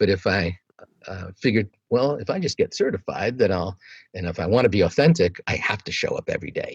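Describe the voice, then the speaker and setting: The recording sounds dry and close, without any echo. A man talks fairly quickly. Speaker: meditation teacher. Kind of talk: interview answer. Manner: casual, conversational.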